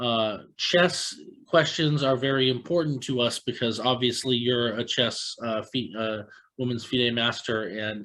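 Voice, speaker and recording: A man with an American accent speaks at a fairly slow pace and medium pitch in an ordinary speaking voice, with ordinary pitch variation. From US, Tampa Florida. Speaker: chess podcast host. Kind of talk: casual interview.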